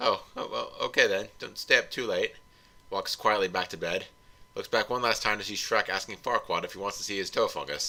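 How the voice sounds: Just a natural reading voice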